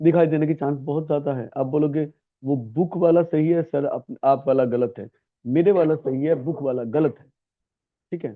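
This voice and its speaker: A man talks in a normal speaking voice with a fairly high pitch. His pitch varies an ordinary amount. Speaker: English grammar teacher. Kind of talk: lecture.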